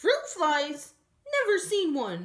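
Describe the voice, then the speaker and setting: A woman puts on a character voice. It is squeaky and pitched high. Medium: read story. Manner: sleepy, mishearing.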